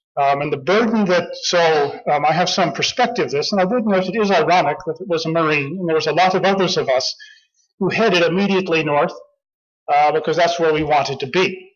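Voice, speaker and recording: A man with an American accent and a high pitch talks at a fairly quick pace with ordinary pitch variation. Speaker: marine officer and former diplomat giving a talk. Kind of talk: conference speech. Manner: fast.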